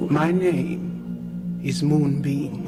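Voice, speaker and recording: A put-on character voice over loud background noise. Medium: audio drama. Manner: blunt, clipped.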